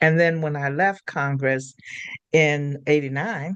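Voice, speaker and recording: A woman is speaking. Her pace is fairly slow. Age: 80s+. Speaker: healer and teacher, former congressional staffer. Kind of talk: casual chat.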